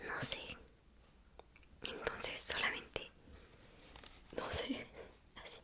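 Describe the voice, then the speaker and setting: Noticeable background noise sits under the recording. The speaker whispers at a very slow pace. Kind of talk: ASMR whispering, personality test commentary. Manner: whispered.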